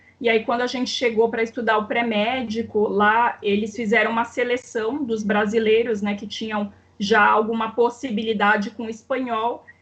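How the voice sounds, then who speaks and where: A woman talks at a moderate pace in a fairly high pitch, with noticeable background noise around her. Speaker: doctor trained in Cuba, author. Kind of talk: casual interview conversation.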